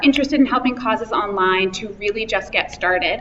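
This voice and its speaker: Delivered at a very fast pace with ordinary pitch variation, the speech has noticeable background noise behind it. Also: woman. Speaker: conference speaker on social media. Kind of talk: conference talk.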